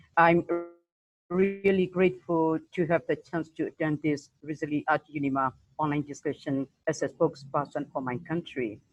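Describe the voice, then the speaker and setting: Music plays in the background as a woman talks at a fairly slow pace. Her fairly low pitch shows ordinary variation. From Myanmar. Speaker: puppeteer and theater founder. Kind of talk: prepared statement on video call.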